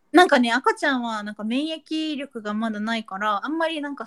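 Dry and close with no echo, a woman's high-pitched voice moves at a fairly quick pace with lively intonation. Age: 20s. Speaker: podcast co-host. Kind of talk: casual chat.

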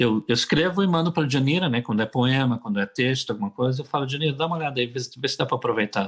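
Over a quiet background, a man talks at a very fast pace in a somewhat breathy, medium-pitched voice with ordinary pitch variation. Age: 60s. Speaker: singer-songwriter. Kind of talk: casual interview.

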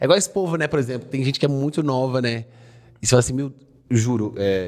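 In a very clean recording with a silent background, a man with a Minas Gerais accent speaks at a fairly quick pace and medium pitch, using lively intonation broken by long, frequent pauses. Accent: Mineiro Brazilian Portuguese. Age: 20s. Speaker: comedy content creator. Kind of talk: casual chat.

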